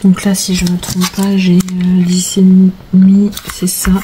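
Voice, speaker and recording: Over noticeable background noise, a woman speaks very slowly at a medium pitch with monotone, flat intonation. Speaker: crafter. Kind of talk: tutorial. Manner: casual with many hesitations.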